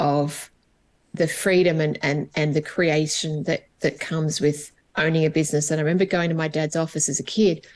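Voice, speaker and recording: With an Australian accent, a woman speaks at a moderate pace in a very deep, low pitch and monotone, flat intonation. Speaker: HR business coach. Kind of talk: podcast interview.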